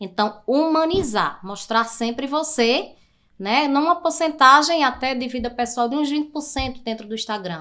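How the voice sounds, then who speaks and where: A woman with a raised, projected voice speaks at a moderate pace in a high pitch, her tone bright and sharp and her intonation lively. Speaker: digital marketing specialist. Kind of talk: podcast interview.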